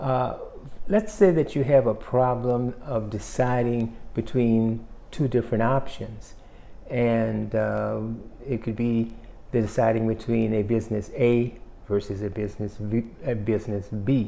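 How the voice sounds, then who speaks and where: Dark and mellow in tone, a man talks at a fairly slow pace with medium pitch and fairly even intonation. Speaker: self-help YouTuber. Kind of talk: motivational talk.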